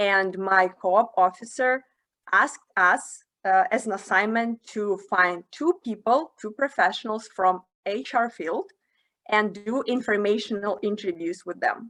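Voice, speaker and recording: The voice carries a Russian accent. Its tone is bright and sharp. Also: woman, medium pitch for a woman, ordinary pitch variation, fairly slow pace. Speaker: career development facilitator. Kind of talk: webinar talk.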